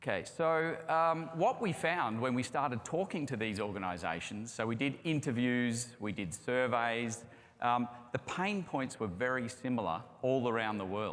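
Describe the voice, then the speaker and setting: With lively intonation and a medium pitch, a man speaks at a moderate pace amid audible room echo. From Australia. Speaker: construction project management executive. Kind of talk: conference presentation. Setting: stage with audience.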